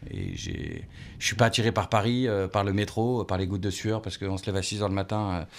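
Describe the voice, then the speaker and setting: On a very clean recording with a silent background, a man talks at a fairly quick pace and a fairly low pitch. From France, Lorraine (Nancy). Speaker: former football radio commentator. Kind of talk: radio interview. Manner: energetic.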